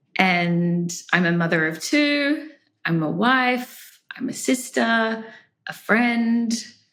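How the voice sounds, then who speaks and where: A woman with an Australian accent, fairly high pitch, very wide pitch swings and a very slow pace, with audible room echo. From Australia, Brisbane. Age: 30s. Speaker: podcast guest. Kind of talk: casual interview. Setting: remote call.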